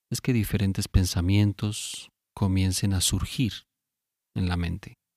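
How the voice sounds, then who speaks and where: A man speaks very slowly in a calm tone, his pitch fairly low with ordinary variation. The sound is dry and close with no echo, on a very clean recording with a silent background. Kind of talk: guided sleep meditation. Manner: slow, soft-spoken, calm; long pauses between short phrases.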